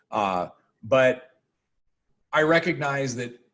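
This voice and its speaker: His voice sits at a fairly high pitch and is somewhat breathy. The man's pitch varies in an ordinary way. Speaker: professor. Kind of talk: lecture. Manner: fast.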